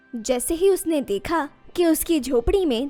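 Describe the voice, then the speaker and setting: With music in the background, a woman speaks at a high pitch with lively intonation. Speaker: voice over artist. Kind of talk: story narration. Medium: read story.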